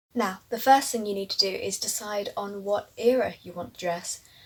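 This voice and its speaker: A woman speaks with a fairly high pitch. Noticeable background noise can be heard in the recording. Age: 20s. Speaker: vintage fashion vlogger. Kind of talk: casual vlog talk.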